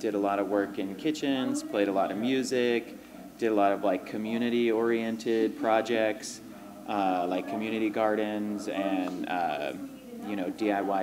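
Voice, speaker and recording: A man's fairly low voice at a moderate pace, ordinary pitch variation, and noticeable background noise. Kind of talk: interview answer. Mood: relaxed, reflective. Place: cafe. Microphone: handheld.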